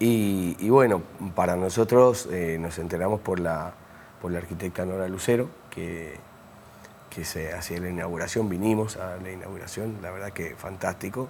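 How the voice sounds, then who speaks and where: Very deep and low, a man's voice shows big swings in loudness. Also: ordinary pitch variation, moderate pace. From Mendoza, Argentina. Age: 60s. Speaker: architect and university lecturer. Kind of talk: interview. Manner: hesitant, many fillers.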